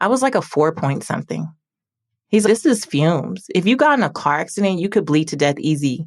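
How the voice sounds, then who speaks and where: With an American accent, a woman with a fairly low pitch speaks in an animated tone and lively intonation. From South Central Los Angeles. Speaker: personal finance author and podcaster. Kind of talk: podcast interview.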